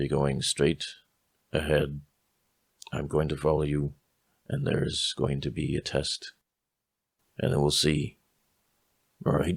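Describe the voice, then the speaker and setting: A man puts on a raspy character voice with a very deep, low pitch. He talks fairly slowly, with long, frequent pauses. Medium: actual play.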